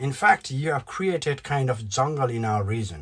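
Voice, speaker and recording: A man with a Nepali accent speaks at a fairly slow pace in a somewhat breathy, medium-pitched voice with lively intonation. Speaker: YouTuber, political commentator. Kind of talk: opinion vlog rant. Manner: animated.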